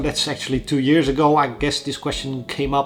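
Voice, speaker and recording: With music in the background, a man with a Dutch accent speaks at a fairly quick pace. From Netherlands. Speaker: indie game developer, YouTuber. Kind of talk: Q&A vlog. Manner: hesitant, many fillers.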